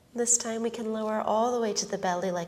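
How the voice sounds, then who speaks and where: Over noticeable background noise, a woman speaks at a medium pitch in a calm tone with monotone, flat intonation. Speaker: yoga instructor. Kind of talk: guided yoga instruction. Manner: calm, slow.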